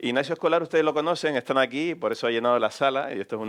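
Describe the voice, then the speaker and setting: A man with a Canarian accent speaks very fast, his pitch varying in an ordinary way. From Canary Islands, Gran Canaria (Telde). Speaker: radio journalist, interviewer. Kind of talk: public on-stage interview. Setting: stage with audience in a cultural hall.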